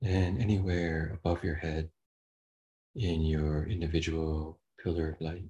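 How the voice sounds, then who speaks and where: Somewhat breathy, this voice moves at a fairly slow pace with long, frequent pauses, fairly even intonation, and a calm, gentle, dark and mellow tone. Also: man, very deep, low pitch for a man. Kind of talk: guided meditation. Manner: slow, soft-spoken, calm; gentle, long pauses.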